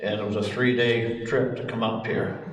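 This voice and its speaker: A man with an American accent talks at a medium pitch and a fairly slow pace, his intonation monotone and flat. Audible room echo and noticeable background noise fill the recording. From Ohio, US Midwest. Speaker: long-time town resident. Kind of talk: oral history group talk. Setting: community meeting room with audience, microphone passed around.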